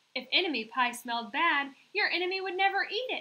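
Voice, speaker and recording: A woman puts on a squeaky character voice at an extremely high pitch. It moves at a fairly quick pace with very wide pitch swings. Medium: read story. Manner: knowing.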